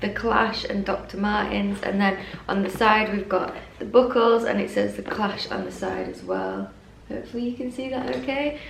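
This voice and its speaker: Over noticeable background noise and audible room echo, a woman with an English accent talks at a moderate pace. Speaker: fashion YouTuber. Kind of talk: casual unboxing vlog.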